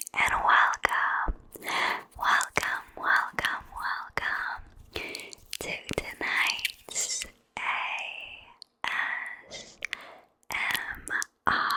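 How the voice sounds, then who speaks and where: In a whisper, the speaker goes very slowly, stopping often for long stretches. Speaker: ASMR creator. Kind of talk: ASMR casual talk to camera. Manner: whispered.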